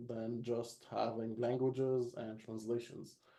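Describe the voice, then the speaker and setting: The voice has a dark, mellow tone and an Arabic accent. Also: man. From Egypt. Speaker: localization expert. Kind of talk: webinar panel discussion.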